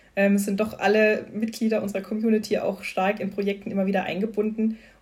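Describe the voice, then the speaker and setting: A somewhat breathy woman at medium pitch, at a very fast pace. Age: 30s. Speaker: employee, member of a workplace LGBTQ+ community. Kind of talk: casual interview.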